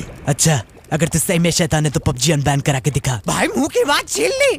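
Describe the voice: Putting on a character voice at a fairly high pitch, a man talks at a fairly quick pace over clear background noise.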